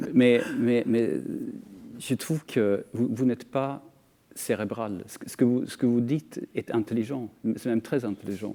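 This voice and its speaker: A man's dark, mellow tone with a Scandinavian accent and ordinary pitch variation. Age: 50s. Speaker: author. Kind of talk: panel discussion. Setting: TV studio. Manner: halting, many repetitions.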